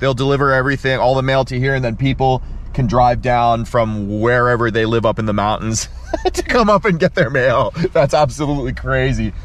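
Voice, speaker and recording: Dry and without echo, the recording features a man speaking. He talks at a fairly quick pace with ordinary pitch variation. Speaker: fishing vlogger. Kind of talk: casual vlog chat. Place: car. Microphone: phone near.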